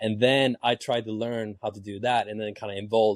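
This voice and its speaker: A man speaks with a Swedish accent at a fairly low pitch. The sound is dry and close, with no echo. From Sweden. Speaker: dance teacher and business co-owner. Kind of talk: casual interview.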